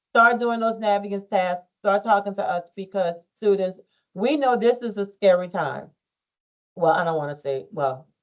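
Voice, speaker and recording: At a fairly slow pace, a woman with a plain, everyday voice speaks at a medium pitch. Her intonation is lively. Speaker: school counselor. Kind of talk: advisement presentation to students.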